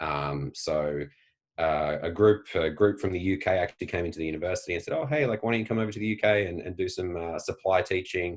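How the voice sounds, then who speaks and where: Against a quiet background, a man with an Australian accent talks at a very fast pace in a very deep, low voice with ordinary pitch variation. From Australia, Tasmania. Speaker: PE teacher and educator. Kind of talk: interview conversation. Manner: frequent fillers, hesitant.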